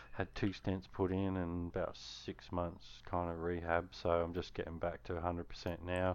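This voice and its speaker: A man's very deep, low voice with an Australian accent, monotone and flat, fairly slow, with hardly any pauses. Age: 40s. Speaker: gamer and racer. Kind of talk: casual chat.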